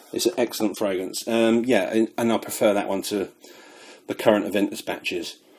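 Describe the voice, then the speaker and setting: The man has a British accent. He talks at a fairly quick pace. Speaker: fragrance reviewer. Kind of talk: product review.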